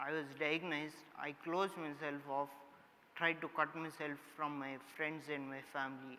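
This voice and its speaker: A man's monotone, flat delivery at a moderate pace over light background noise. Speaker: summit host, speaker. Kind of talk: inspirational talk. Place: stage.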